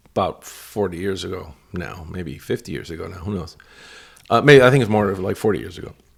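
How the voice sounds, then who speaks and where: An American accent comes through with vocal fry and big swings in loudness. The recording is very clean, with a silent background. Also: man, very deep, low pitch for a man, lively intonation, fairly quick pace. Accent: Cuban-tinged American. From New York. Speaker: broadcast television veteran. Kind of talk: casual chat. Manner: halting.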